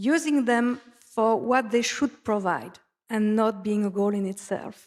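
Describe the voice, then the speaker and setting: A woman with a French accent at a fairly slow pace. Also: fairly high pitch for a woman, ordinary pitch variation. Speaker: conference speaker, data analytics expert. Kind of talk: conference presentation. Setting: conference stage with audience. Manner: halting, with fillers.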